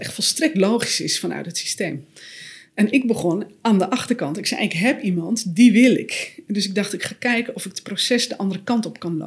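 A somewhat breathy woman talks at a fairly quick pace with lively intonation. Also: medium pitch for a woman. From Netherlands, West-Friesland. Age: 40s. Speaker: author and systemic coach. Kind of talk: podcast interview.

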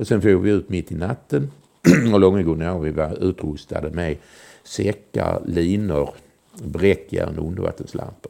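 At a fairly slow pace, a man talks with a very deep, low pitch and a dark, mellow tone. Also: ordinary pitch variation. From southern Sweden, Malmö. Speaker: former intelligence agent. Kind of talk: storytelling interview. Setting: at home.

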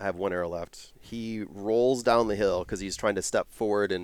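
A man speaks in an ordinary speaking voice at a fairly low pitch, with fairly even intonation and a moderate pace, on a very clean recording with a silent background. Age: 40s. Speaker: hunter and wild game cook. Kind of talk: casual chat. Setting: wall tent at hunting camp.

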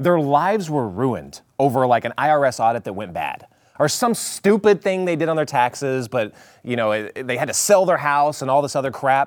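A man with a normal speaking voice talks at a moderate pace in a fairly high pitch with lively intonation, on a very clean recording with a silent background. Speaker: chief researcher for a talk show. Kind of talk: casual chat.

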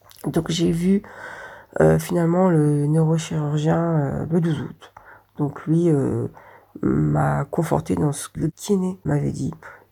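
A woman speaks at a very slow pace. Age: 40s. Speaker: warehouse order picker, patient. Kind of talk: patient testimony.

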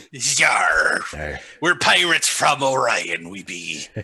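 At a very slow pace, a man uses a put-on character voice with a medium pitch. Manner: theatrical.

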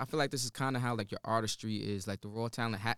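Captured on a very clean recording with a silent background and a dry, close sound with no echo, a man speaks very fast in an American accent. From New Jersey (Teaneck). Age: young. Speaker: singer-songwriter. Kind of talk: casual chat.

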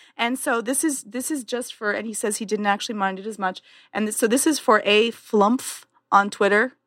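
This is a normal speaking voice with a Canadian accent. The pace is moderate and the pitch varies in an ordinary way. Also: woman, fairly high pitch for a woman. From Canada. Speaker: podcast co-host. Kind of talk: casual chat.

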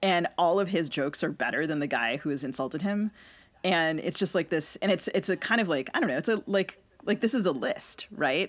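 The voice is a plain, everyday voice with lively intonation. The pace is fairly quick. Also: woman, fairly low pitch for a woman. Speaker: podcast co-host and novelist. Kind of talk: casual chat. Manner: laughs often.

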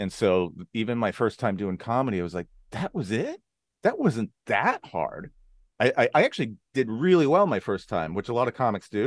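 An unremarkable speaking voice from a man, medium in pitch, with lively intonation, a fairly quick pace and a dry, close sound with no echo. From Arizona and California. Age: 40s. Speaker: comedian. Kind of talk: casual interview chat.

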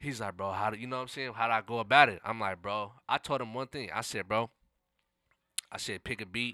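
An American-accented man talks at a fairly quick pace with a medium pitch, a bright, sharp tone and fairly even intonation. The recording is very clean and dry, close and echo-free, with a silent background. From Seattle, Central District. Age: 20s. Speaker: hip hop artist. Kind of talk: casual interview.

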